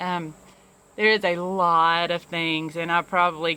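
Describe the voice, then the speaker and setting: A woman with a Southern US accent speaks at a fairly low pitch in a bright, sharp tone. The recording is very clean, with a silent background. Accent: Southern, self-described poor English. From US South, small-town Alabama. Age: 40s. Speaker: vlogger, youth program director and business owner. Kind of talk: personal confessional vlog. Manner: halting, many fillers and repeats.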